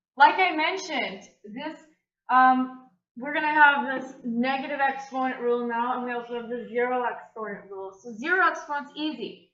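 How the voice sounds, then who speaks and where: A woman with a bright, sharp tone and high pitch talks at a moderate pace with ordinary pitch variation, big swings in loudness and audible room echo. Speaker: math teacher. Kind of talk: video lesson tutorial.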